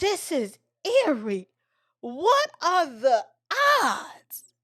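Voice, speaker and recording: Using a put-on character voice, a woman speaks at a very slow pace, high-pitched and with very wide pitch swings. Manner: lowered, ominous, feigning spooked wonder.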